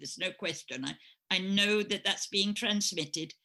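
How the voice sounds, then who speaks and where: A woman with an English accent speaks at medium pitch and a moderate pace in a bright, sharp tone. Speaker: astrologer and spiritual teacher. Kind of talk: interview. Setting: podcast recording. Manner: halting.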